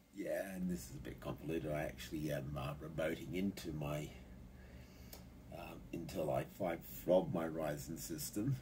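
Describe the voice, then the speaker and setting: Over light background noise, a man with a very deep, low, dark and mellow voice talks at a moderate pace with vocal fry and ordinary pitch variation. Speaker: hobbyist computer user. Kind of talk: casual tech tutorial narration. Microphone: phone near.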